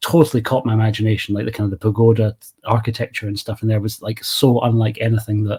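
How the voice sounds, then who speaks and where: A man speaks at a very fast pace in a medium-pitched, dark, mellow tone. His somewhat breathy voice stays monotone and flat. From Scotland, east coast. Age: 40s. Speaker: movie channel creator. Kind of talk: casual chat.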